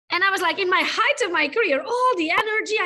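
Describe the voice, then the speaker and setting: Raised and projected, a woman's voice with a non-native accent comes out very fast at an extremely high pitch, in a bright, sharp tone with lively intonation. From Europe. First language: not English. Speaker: podcast host. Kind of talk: interview.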